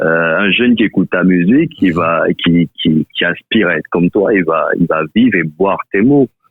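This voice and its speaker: With a very deep, low pitch, a man speaks at a moderate pace with hardly any pauses, very even loudness and ordinary pitch variation. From Ivory Coast. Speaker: rapper. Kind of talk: interview answer.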